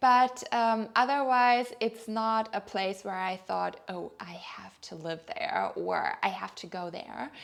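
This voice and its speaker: A woman with a German accent at a fairly high pitch, lively intonation, a very slow pace and hardly any pauses. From Germany. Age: 30s. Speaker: lifestyle vlogger. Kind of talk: personal vlog monologue. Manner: hesitant, with fillers.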